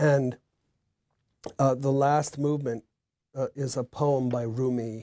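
A man speaks in an American accent, his tone dark, mellow and somewhat breathy. His intonation is monotone and flat over a quiet background. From United States. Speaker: composer. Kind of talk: interview. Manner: halting. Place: home room. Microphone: lapel.

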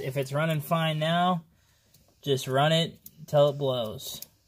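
There is light background noise as a man speaks at a fairly slow pace. His intonation stays fairly even. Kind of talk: casual vlog chat. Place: garage. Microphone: phone near.

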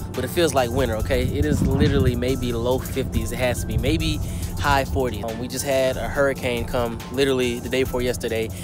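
A man at a fairly quick pace, with clear music in the background and a dry sound with no echo. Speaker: fishing vlogger. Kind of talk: casual vlog chat. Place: waterside. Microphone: phone near.

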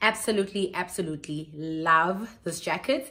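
A woman speaks at a fairly slow pace. Her tone is bright and sharp, with ordinary pitch variation. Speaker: lifestyle vlogger. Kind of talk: casual haul vlog chat. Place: home room. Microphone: phone near.

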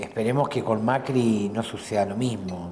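With an ordinary speaking voice, a man talks at a moderate pace and a fairly low pitch. His intonation is fairly even, and light background noise can be heard. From Argentina, Santa Fe province. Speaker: provincial legislator; interviewee. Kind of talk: casual interview over a meal. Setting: restaurant. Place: cafe.

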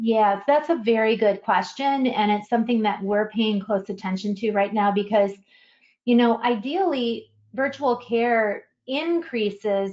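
A woman's ordinary speaking voice, fairly high in pitch, with ordinary pitch variation and a fairly slow pace. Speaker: tech executive and clinician. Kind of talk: webinar presentation. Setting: online webinar.

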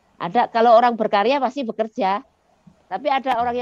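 A woman talks at a very fast pace with ordinary pitch variation, the sound dry with no echo. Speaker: school founder and former mining engineer; podcast guest, educator. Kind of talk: interview. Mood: cheerful, smiling. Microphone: headset.

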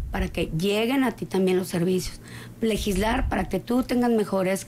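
Fairly quick speech with ordinary pitch variation over light background noise. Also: woman. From Coahuila, Mexico. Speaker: political candidate; candidate. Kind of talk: studio interview. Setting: studio. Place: studio. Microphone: studio mic.

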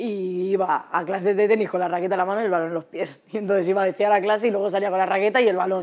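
Over a quiet background, a woman talks at a very fast pace with hardly any pauses. Her intonation stays monotone and flat. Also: medium pitch for a woman. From Madrid region, Spain. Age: 20s. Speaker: footballer; guest. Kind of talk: casual chat. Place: studio. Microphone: lapel.

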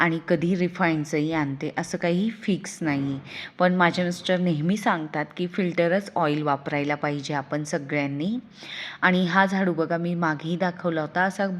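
Against a quiet background, a woman speaks in a fairly low voice with fairly even intonation. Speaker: lifestyle vlogger. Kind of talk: casual vlog narration. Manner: speaking louder than usual.

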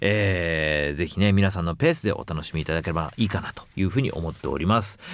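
A man's very deep, low voice at a fairly quick pace with ordinary pitch variation, on a very clean recording with a silent background. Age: 40s. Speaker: voice actor hosting a talk show. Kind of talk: casual chat.

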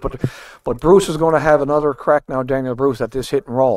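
A man's plain, everyday voice at a medium pitch, fairly quick in pace, with fairly even intonation. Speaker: curling commentator. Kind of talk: live curling commentary. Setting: broadcast booth. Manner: easygoing, conversational, analytical.

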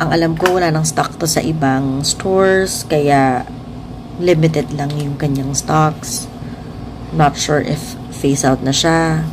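The speaker has a Filipino accent, fairly even intonation and a fairly slow pace. Noticeable background noise and audible room echo are present. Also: woman, very deep, low pitch for a woman. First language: Tagalog. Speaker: beauty vlogger. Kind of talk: makeup review tutorial.

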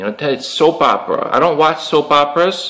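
In an American accent, a man with a high pitch and a bright, sharp tone speaks at a moderate pace against a quiet background. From Chicago. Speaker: YouTube MMA commentator; vlogger. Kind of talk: solo monologue / rant. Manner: rambling, repetitive, with fillers. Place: home room. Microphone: webcam.

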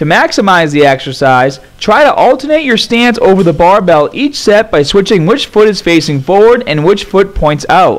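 Swinging very widely in pitch, a man talks at a moderate pace with hardly any pauses. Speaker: fitness trainer. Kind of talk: tutorial.

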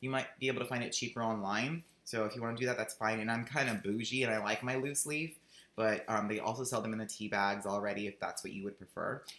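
Talking at a very fast pace with hardly any pauses, a man uses a medium pitch, a bright, sharp tone and fairly even intonation amid audible room echo. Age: 30s. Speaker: vlogger; video journal blogger. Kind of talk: video diary. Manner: chatty, rambling with fillers. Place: home room. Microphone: webcam.

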